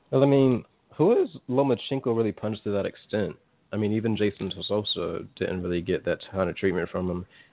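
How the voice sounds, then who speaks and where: A normal speaking voice at a fairly quick pace with ordinary pitch variation. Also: man, fairly low pitch for a man. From Virginia, US East Coast. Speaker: boxing podcast co-host. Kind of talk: casual chat.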